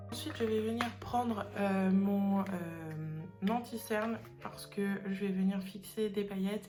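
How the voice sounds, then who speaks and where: A woman at medium pitch speaking at a fairly slow pace, with music in the background. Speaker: beauty vlogger. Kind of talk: makeup tutorial talk to camera. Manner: casual, hesitant.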